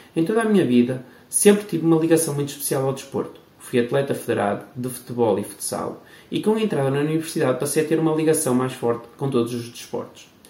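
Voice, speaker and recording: Amid noticeable background noise and audible room echo, a man talks at a very fast pace, his fairly high voice moving with lively intonation. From Portugal, Barcelos (Minho). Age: 30s. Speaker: podcast host, PE teacher and futsal coach. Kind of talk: scripted introduction.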